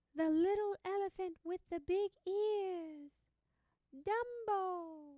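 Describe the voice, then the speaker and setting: In a put-on character voice, a woman speaks at an extremely high pitch. Her pace is very slow. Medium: read story. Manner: brisk, confident.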